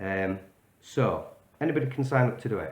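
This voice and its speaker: There's audible room echo around a man with a Yorkshire accent. He has vocal fry and lively intonation. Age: 40s. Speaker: vlogger. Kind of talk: direct-to-camera video message. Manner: casual, hesitant with fillers.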